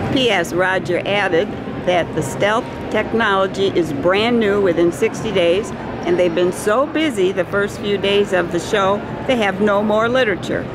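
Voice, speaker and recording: A woman talks at a moderate pace with ordinary pitch variation. Noticeable background noise runs beneath her voice. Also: dry sound with no echo. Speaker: reporter at trade show. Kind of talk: interview questions and on-site commentary. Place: hall. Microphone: phone near.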